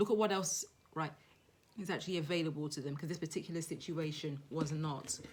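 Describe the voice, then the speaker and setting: A woman's very deep, low-pitched voice with monotone, flat intonation. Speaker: tarot reader. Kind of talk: tarot reading. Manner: fast; halting.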